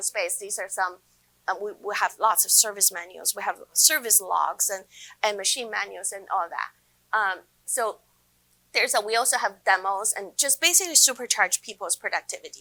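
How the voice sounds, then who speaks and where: Her voice is fairly high in pitch with a bright, sharp tone, lively intonation and big swings in loudness, and the woman speaks at a moderate pace. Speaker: tech industry specialist, conference speaker. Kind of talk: conference presentation. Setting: stage with audience. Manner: halting, many fillers and restarts.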